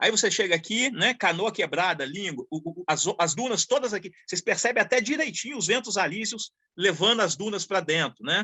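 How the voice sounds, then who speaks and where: Lively in intonation, a man with a high pitch talks with hardly any pauses. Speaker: engineering professor giving a lecture. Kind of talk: online lecture. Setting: video call from a rural place. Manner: fast; halting, repeats words.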